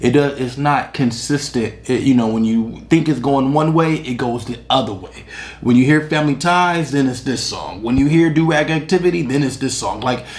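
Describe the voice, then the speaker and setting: A fairly high-pitched man at a moderate pace, with ordinary pitch variation, hardly any pauses and audible room echo. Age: 30s. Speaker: music reviewer. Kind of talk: casual album review. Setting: on camera at home, drinking beer. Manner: halting, many fillers and repetitions.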